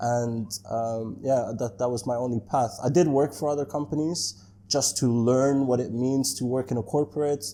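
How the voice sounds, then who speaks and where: This man's voice has a dark, mellow tone, medium pitch, a moderate pace and ordinary pitch variation. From Netherlands. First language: Dutch. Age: 30s. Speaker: entrepreneur. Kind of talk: interview. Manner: casual, many fillers.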